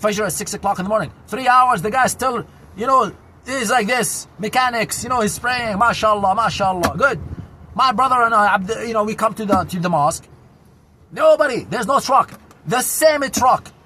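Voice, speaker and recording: Raising and projecting his voice over noticeable background noise, a man with an Arabic accent speaks at a high pitch and moderate pace with ordinary pitch variation. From Syria, Damascus. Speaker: vlogger. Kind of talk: casual monologue. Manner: loud; animated.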